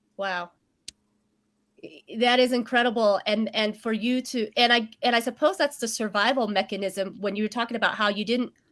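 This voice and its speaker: A woman speaks at a moderate pace in an American accent. Her pitch sits fairly high, with ordinary variation. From Vietnam. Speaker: show host. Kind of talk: interview. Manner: halting.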